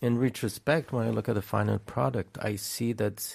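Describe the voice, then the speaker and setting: On a very clean recording with a silent background, a man speaks at a medium pitch with vocal fry. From France. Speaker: documentary director. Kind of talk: interview. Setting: studio.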